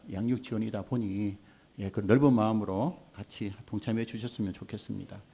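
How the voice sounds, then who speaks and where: Speaking at a fairly quick pace, a man with a Gyeongsang accent has a dark, mellow tone. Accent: Gyeongsang dialect, noticeable. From South Korea, Gyeongsang (Mungyeong, North Gyeongsang). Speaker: childcare support center association head. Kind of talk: panel forum talk.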